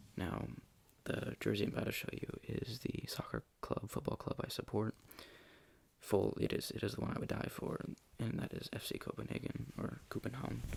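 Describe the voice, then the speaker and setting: Soft-spoken delivery at a moderate pace. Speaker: ASMR creator. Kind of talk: ASMR soft-spoken show and tell.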